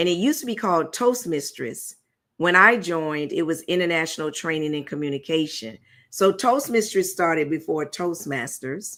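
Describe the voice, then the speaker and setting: Heard on a very clean recording with a silent background, the speaker uses lively intonation and has an American accent. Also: woman, fairly low pitch for a woman. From Virginia, Tidewater area. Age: 60s. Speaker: business owner and public speaker. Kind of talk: interview. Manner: fast.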